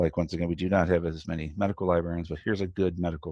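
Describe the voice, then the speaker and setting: The background is quiet as a man speaks at a very fast pace. His pitch is very deep and low. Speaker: medical librarian. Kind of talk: webinar tutorial. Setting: online webinar. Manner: casual, hesitant with fillers.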